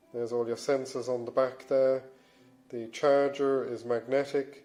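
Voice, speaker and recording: A man speaks over music playing in the background. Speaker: fitness and smartwatch reviewer. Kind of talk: casual product review to camera.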